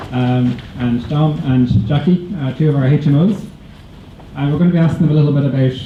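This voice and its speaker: The speaker has an Irish accent and a fairly quick pace with ordinary pitch variation. Audible room echo and noticeable background noise are both present. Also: man, fairly high pitch for a man. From Ireland. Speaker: emergency physician, training supervisor. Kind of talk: orientation talk hosting Q and A. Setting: stage with audience.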